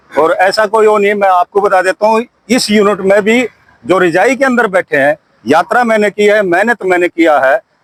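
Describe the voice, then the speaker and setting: Dry and close with no echo, a man's high-pitched voice holds very even loudness and ordinary pitch variation at a moderate pace. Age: 60s. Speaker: retired army soldier. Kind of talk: street interview.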